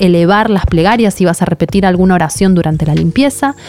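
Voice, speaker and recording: Noticeable background noise behind a woman at medium pitch, fairly quick, with ordinary pitch variation. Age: 30s. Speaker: podcast host and author. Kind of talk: podcast interview and storytelling.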